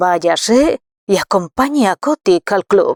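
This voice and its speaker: In a put-on character voice, a raspy woman at medium pitch swings her pitch very widely at a fairly slow pace, with a dry, close sound and no echo. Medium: read story. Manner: jovial, easygoing.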